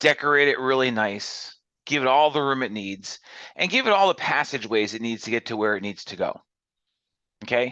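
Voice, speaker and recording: A man speaks loudly at a medium pitch, with a bright, sharp, animated tone and lively intonation. His pace is fairly quick, broken by long, frequent pauses, over a quiet background. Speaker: college instructor. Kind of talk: lecture. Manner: loud and animated; fast.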